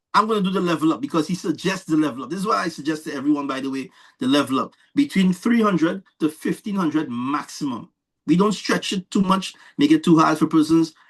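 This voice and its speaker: Speaking at a fairly quick pace with a Trinidadian accent, a man with a high voice sounds animated, his intonation lively against a quiet background. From Trinidad and Tobago. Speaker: presenter of investment scheme. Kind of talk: sales pitch. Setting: online call.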